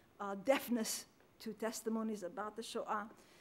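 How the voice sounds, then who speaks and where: A woman with a fairly high pitch and a non-native accent. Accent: foreign. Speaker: historian, panel speaker. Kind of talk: academic lecture. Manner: fast.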